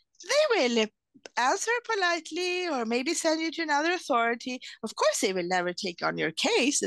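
A woman speaks in a Swedish accent with very wide pitch swings. The sound is dry and close, with no echo. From Sweden. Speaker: lawyer and translator. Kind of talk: interview. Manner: halting.

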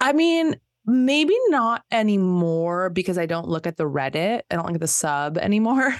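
A woman speaks with a Southern California accent at medium pitch. Her pitch swings very widely against a quiet background. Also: moderate pace. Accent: Southern California, Valley Girl speech. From Los Angeles area, California. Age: 40s. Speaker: podcaster. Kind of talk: casual chat.

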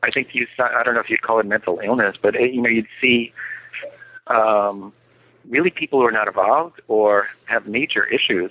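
Medium in pitch and moderate in pace, a man speaks with ordinary pitch variation and very even loudness. His is a plain, everyday voice. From New York. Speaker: author and cultural historian. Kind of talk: interview.

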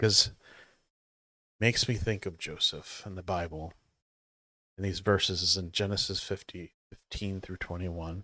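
In a very clean recording with a silent background, a man with a very deep, low pitch and a bright, sharp tone pauses long and often. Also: moderate pace. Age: 40s. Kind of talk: devotional talk. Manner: halting.

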